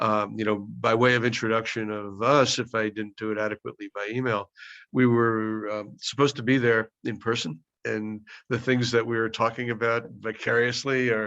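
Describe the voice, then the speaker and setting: A man with a New York accent, bright and sharp in tone, flat and monotone in intonation, at a moderate pace against a quiet background. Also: medium pitch for a man. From US Northeast, Brooklyn. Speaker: professor leading a virtual field study. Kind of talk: video call introduction. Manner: halting, many fillers.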